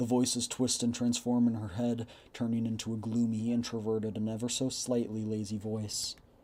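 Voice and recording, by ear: Natural-voiced reading aloud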